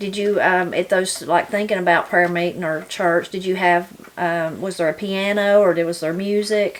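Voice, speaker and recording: A woman with a Southern Appalachian accent speaks at medium pitch and a moderate pace in a flat monotone, hardly pausing, against noticeable background noise. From Appalachia, western North Carolina. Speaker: interviewer. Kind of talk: casual interview.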